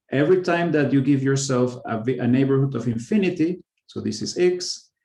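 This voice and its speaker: The tone is dark and mellow, the pace fairly quick, and the pitch varies an ordinary amount. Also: man, fairly high pitch for a man. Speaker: mathematician giving a research talk. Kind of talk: lecture. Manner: halting, with fillers and self-corrections.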